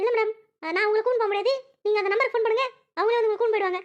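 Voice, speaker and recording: Using a cartoonish character voice, a woman speaks very fast at an extremely high pitch, with fairly even intonation and very even loudness. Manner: deferential, repeats "madam".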